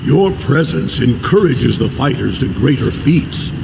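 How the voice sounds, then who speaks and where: Loud background noise fills the recording. A man speaks in a put-on character voice at a medium pitch and a moderate pace. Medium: machinima.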